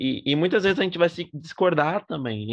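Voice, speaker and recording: A man with a normal speaking voice talks at a moderate pace with lively intonation against a quiet background. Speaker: podcast host. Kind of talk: casual chat.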